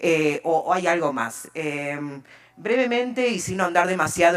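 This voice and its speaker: Against noticeable background noise, a woman with an Argentine accent speaks at a moderate pace in a fairly low pitch. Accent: Argentine Spanish (Rioplatense). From Argentina. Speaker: open data expert. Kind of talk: conference talk.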